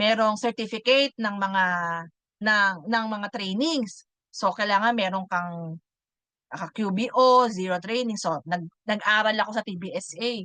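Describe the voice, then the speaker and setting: Against a quiet background, a woman's medium-pitched voice with a bright, sharp tone moves at a fairly slow pace, showing ordinary pitch variation in a dry, close sound with no echo. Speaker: online bookkeeping course team leader. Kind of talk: online class lecture.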